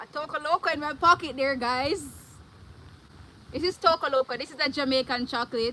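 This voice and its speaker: A woman speaks in a raised, projected, high-pitched voice with an animated tone and ordinary pitch variation. Her loudness swings widely, and her pauses are long and frequent. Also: fairly quick pace. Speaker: vlogger. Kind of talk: live stream.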